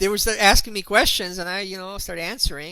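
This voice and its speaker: A man with a high pitch speaks in a raised, projected voice. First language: not English. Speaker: internet marketer and author. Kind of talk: online presentation. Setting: video call hangout. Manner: halting, many fillers.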